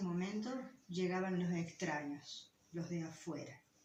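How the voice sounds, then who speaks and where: A somewhat breathy woman speaks at a fairly slow pace and a medium pitch. Audible room echo is present. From Guaraní territory. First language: Guaraní (speaking Spanish). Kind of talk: lecture.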